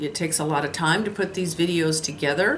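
Over light background noise, a woman with a fairly low pitch talks at a moderate pace with ordinary pitch variation. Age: 60s. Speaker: lifestyle vlogger. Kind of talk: casual vlog monologue. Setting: solo camera recording. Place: home room. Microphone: phone near.

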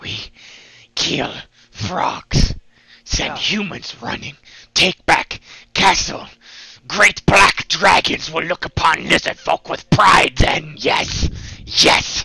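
Putting on a character voice, a man speaks very slowly with long, frequent pauses in a high, raspy, hissing voice. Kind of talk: comic game master creature voice. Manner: broken grammar, eager, hissing repetitions.

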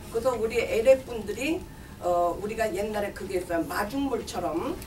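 Using an ordinary speaking voice, the speaker talks fairly slowly with lively intonation over light background noise. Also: woman. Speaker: community campaign manager for seniors group. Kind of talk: press conference statement. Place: meeting room. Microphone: podium.

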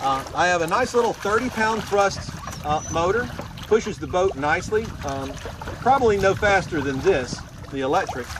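A man with a high voice speaks at a moderate pace with lively intonation, the sound dry with no echo but with noticeable background noise. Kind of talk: product demo talk. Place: boat. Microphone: camera far.

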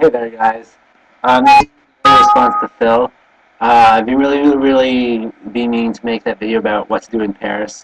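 The man speaks at medium pitch and a moderate pace. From Canada. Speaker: vlogger. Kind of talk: webcam video blog. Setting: webcam recording. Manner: halting, many fillers. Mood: cheerful, smiling, relaxed. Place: home room. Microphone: webcam.

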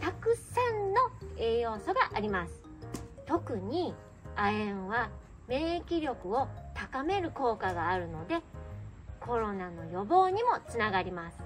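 Against clear music in the background, a woman speaks at a very slow pace with long, frequent pauses. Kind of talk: casual vlog chat. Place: tent.

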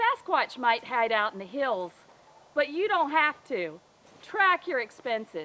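A woman uses a raised, projected voice at a fairly slow pace. Her pitch swings are very wide. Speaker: financial coach. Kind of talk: comedic promotional tip to camera. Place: forest.

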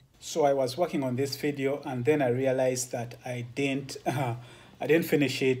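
A man talks in a somewhat breathy voice with fairly even intonation. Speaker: truck driver vlogger. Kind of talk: casual vlog chat. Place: home room. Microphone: phone near.

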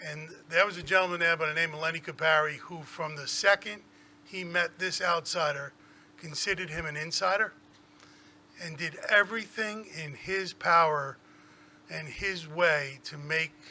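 A man with a New York accent speaks in a high voice at a moderate pace, with long, frequent pauses. His loudness swings widely while his intonation stays fairly even. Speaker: school superintendent. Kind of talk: tribute speech at board meeting. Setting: public board meeting.

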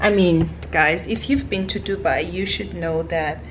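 A fairly slow delivery over light background noise. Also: woman. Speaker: travel vlogger. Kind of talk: casual vlog chat. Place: home room. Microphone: phone near.

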